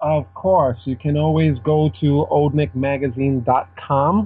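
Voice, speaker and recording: Very slowly and somewhat breathily, a man talks. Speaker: magazine editor. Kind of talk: casual chat.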